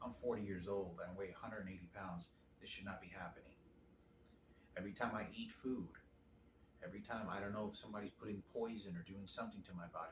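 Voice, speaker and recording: A man with a fairly low pitch and a somewhat breathy voice speaks at a very fast pace. Long, frequent pauses come through with audible room echo. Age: 40s. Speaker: video diarist. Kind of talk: personal testimony to camera. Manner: halting.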